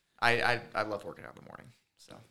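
A man with an American accent speaks in a bright, sharp tone. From Michigan, Lansing. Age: 20s. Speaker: assistant wrestling coach. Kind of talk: casual interview.

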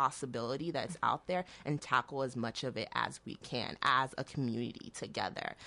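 A woman is speaking against a quiet background. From Oklahoma, US (born in Nigeria, moved at six). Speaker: city government staffer. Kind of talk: radio interview. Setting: radio studio.

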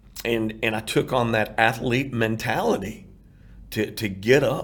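Somewhat breathy, a man with a medium pitch keeps a fairly even intonation. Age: 50s. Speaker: heart transplant recipient and outreach founder. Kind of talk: interview testimony.

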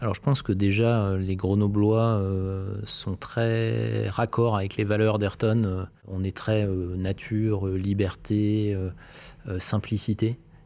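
A man speaks very slowly with hardly any pauses, his pitch fairly low. His tone is dark and mellow, and his intonation is monotone and flat. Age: 40s. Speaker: engineer and company founder. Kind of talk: interview. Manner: hesitant, many fillers and repeated words.

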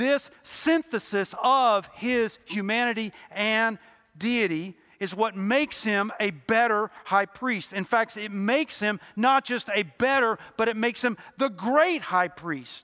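A raised, projected voice with a bright, sharp tone, ordinary pitch variation and a very slow pace. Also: man, high pitch for a man. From Louisville, Kentucky. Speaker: lay preacher. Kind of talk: sermon. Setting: church.

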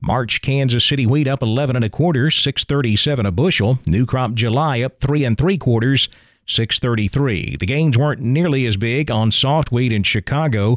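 Using an unremarkable speaking voice, a man with an American accent talks at a medium pitch and a fairly slow pace with hardly any pauses and very even loudness, on a very clean recording with a silent background and a dry, close sound with no echo. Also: ordinary pitch variation. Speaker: radio farm news host. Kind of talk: radio news presentation. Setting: studio.

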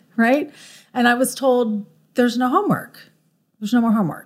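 Talking at a very fast pace, a woman with a Californian accent has fairly high pitch. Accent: Californian American. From Southern California, Orange County. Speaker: school board candidate. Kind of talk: interview.

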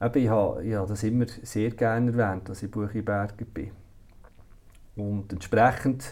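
A man with a fairly low pitch speaks at a moderate pace. His intonation is fairly even, broken by long, frequent pauses. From Switzerland, Solothurn (Bucheggberg roots). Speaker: director of a care institution. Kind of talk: interview. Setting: office. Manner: hesitant, many fillers.

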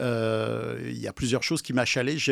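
A man talks at a moderate pace in an ordinary speaking voice. The recording is very clean, with a silent background. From France. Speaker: podcast producer. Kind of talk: interview.

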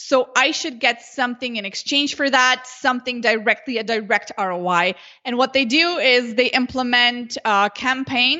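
A woman's high voice with a Slovenian accent, at a moderate pace with hardly any pauses. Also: ordinary pitch variation. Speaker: Facebook ads consultant. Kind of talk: interview.

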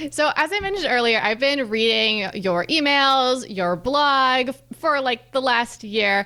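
A woman speaks slowly-ish, fairly slow in pace, with high pitch and lively intonation. Her loudness stays very even over noticeable background noise. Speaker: podcast host. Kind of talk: casual interview chat.

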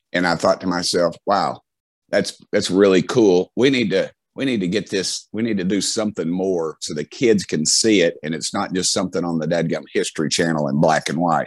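Spoken at a moderate pace with ordinary pitch variation, the voice has an American accent. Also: man. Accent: Southern, redneck. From US South, Knoxville, Tennessee. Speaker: politician. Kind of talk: interview storytelling. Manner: halting, many false starts.

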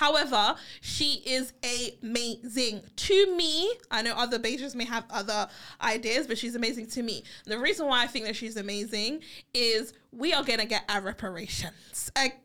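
Speaking at a moderate pace with a British accent, a woman uses a fairly high pitch, a bright, sharp tone, an animated tone and ordinary pitch variation. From England. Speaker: podcast co-host. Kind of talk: casual chat.

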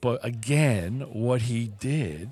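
This man's voice sits at a medium pitch and varies in an ordinary way. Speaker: podcast co-host. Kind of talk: casual coffee chat; fervent prayer, earnest list of petitions. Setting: coffee shop. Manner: earnest, conversational; sincere, rhythmic repetition, heartfelt.

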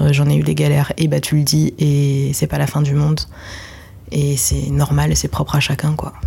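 Against noticeable background noise, a woman speaks at a moderate pace with very even loudness. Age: 20s. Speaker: web video director. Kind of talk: interview. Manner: casual, hesitant with fillers.

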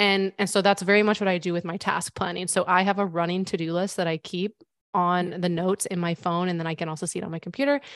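At a very fast pace with hardly any pauses, a woman with an American accent speaks at medium pitch with fairly even intonation, in a very clean, dry, close recording with no echo and a silent background. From US Midwest (Missouri). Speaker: business consultant. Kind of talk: interview.

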